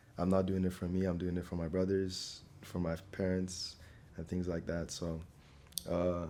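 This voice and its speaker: A man with an American accent speaks in a very deep, low pitch with a dark, mellow tone. His pace is moderate and his intonation monotone and flat. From Nigeria. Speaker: scholarship applicant. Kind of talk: interview. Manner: casual, with filler words.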